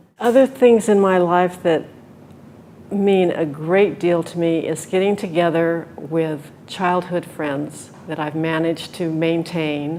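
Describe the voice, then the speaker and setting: A fairly low-pitched woman at a very slow pace, over noticeable background noise. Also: ordinary pitch variation. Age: 70s. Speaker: retiree. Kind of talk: interview answer.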